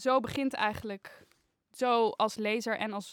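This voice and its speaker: She has an ordinary speaking voice with ordinary pitch variation. This woman talks at a fairly slow pace. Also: very clean recording, silent background. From Netherlands, Haarlem. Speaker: painting student. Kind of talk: casual chat.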